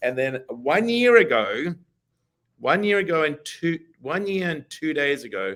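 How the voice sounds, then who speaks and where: A man with fairly high pitch talks at a fairly slow pace, his pitch swinging very widely. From Australia, Perth. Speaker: real estate broker. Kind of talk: casual chat.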